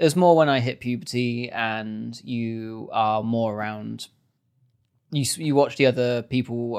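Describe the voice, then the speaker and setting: On a very clean recording with a silent background, a man with a British accent talks at a fairly slow pace, medium pitch, and fairly even intonation. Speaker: podcast producer and editor. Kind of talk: casual chat.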